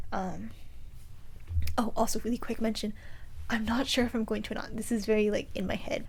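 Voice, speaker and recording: Audible room echo surrounds a woman speaking in monotone, flat intonation at a fairly high pitch. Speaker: knitting podcaster. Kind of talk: casual vlog monologue. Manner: fast.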